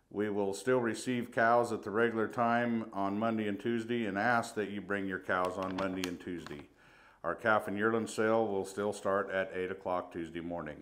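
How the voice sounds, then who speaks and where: The man has a plain, everyday voice. His pitch is fairly low and his intonation fairly even. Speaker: stockyard market reporter. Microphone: phone near.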